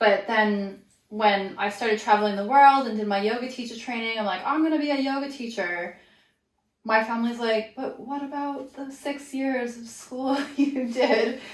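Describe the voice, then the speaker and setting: A woman speaks at a moderate pace in a high voice with ordinary pitch variation, her loudness swinging widely amid audible room echo. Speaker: yoga teacher. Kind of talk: casual chat.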